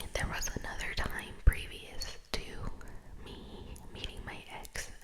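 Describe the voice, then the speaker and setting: A woman whispers very slowly, with long, frequent pauses. Noticeable background noise runs underneath. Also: big swings in loudness. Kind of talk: ASMR whispered personal ramble. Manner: whispered.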